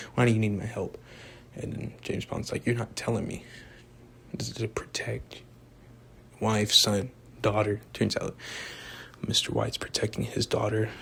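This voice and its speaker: A man whispers at a moderate pace. His speech is broken by long, frequent pauses. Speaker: amateur movie reviewer. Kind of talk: casual video monologue. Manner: rambling with fillers; soft-spoken.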